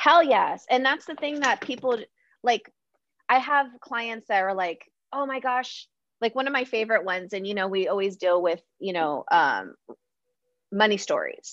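A woman talks at a moderate pace with lively intonation, stopping often for long pauses against a quiet background. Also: fairly high pitch for a woman. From US West Coast, San Diego. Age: 30s. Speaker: feng shui expert and coach. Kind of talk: casual interview chat.

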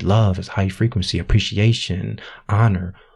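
A somewhat breathy man with a very deep, low pitch, at a moderate pace with fairly even intonation. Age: 40s. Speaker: intuitive guide and spiritual teacher. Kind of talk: interview. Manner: halting, with many fillers.

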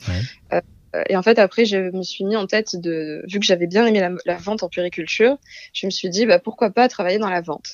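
A woman uses an ordinary speaking voice, keeping a medium pitch, fairly even intonation and a moderate pace. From Marseille, southern France. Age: 20s. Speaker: translator. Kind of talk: interview.

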